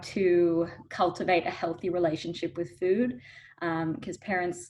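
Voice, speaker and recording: The pace is fairly slow. The speaker has an Australian accent. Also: woman. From Australia, Melbourne. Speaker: dietitian. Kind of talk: interview.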